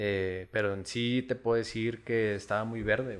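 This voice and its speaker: This man has an ordinary speaking voice at a medium pitch. His intonation is fairly even. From Chihuahua, northern Mexico. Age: 30s. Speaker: sotol producer and entrepreneur. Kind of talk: casual interview over drinks.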